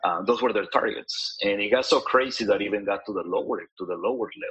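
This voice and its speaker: A man at a fairly quick pace with a Spanish accent. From Mexico (Cuernavaca), raised in Kansas City from age 9. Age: 30s. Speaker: pastor. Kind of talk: interview. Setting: video call.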